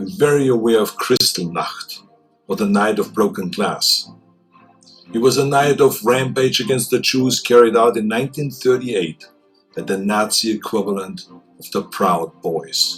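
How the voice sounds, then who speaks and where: Music plays in the background as a man with an Austrian accent talks at a moderate pace and medium pitch. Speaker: public figure. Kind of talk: public address speech.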